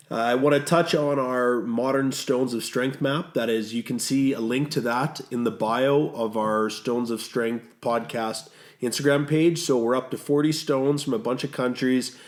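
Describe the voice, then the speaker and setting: In a Canadian accent, a man with a plain, everyday voice speaks at a moderate pace and medium pitch with fairly even intonation. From Canada. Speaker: podcast co-host. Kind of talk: casual podcast chat.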